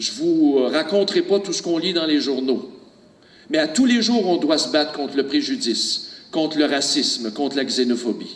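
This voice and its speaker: A man's fairly high voice, lively in intonation, against noticeable background noise. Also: moderate pace. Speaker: public speaker. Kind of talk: speech. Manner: hesitant, many fillers.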